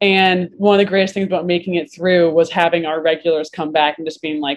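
In an unremarkable speaking voice, a woman with an American accent talks at a fairly quick pace. Her pitch is fairly low and her intonation fairly even. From Vermont, US. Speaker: bartender and bar owner. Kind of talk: casual interview chat.

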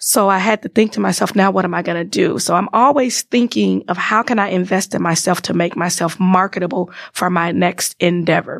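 With an American accent, a woman at a medium pitch talks at a fairly quick pace with vocal fry, ordinary pitch variation and hardly any pauses. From Chicago, US Midwest. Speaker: IT business relationship manager and entrepreneur. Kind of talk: interview.

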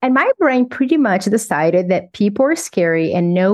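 A woman in a Portuguese accent with lively intonation. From Brazil. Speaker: psychologist and author. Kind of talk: interview.

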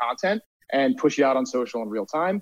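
A man with an American accent, a plain, everyday voice, medium pitch and ordinary pitch variation. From Delaware, US. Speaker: surf league community executive. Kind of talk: interview. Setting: live stream.

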